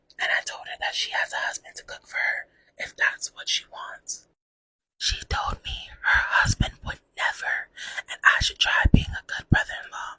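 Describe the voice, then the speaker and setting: Someone whispers at a moderate pace in a dry, close sound with no echo. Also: woman. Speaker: ASMR artist. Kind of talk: ASMR reading of online post. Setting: close mini microphone. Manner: whispered.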